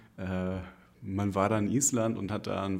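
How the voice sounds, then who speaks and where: This man's voice sits fairly low in pitch. He speaks with monotone, flat intonation. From northern Germany, near Hamburg. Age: 30s. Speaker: single guest, IT knowledge manager. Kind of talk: casual interview. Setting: studio, face to face. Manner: hesitant, many fillers.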